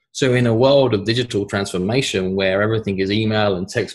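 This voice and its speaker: A man speaks in a fairly low, somewhat breathy voice. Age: 30s. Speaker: sales trainer and author. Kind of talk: podcast interview.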